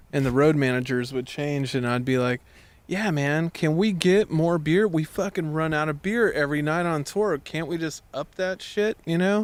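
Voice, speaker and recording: With lively intonation, a man talks in a fairly high pitch. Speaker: musician. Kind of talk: casual chat. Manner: slow.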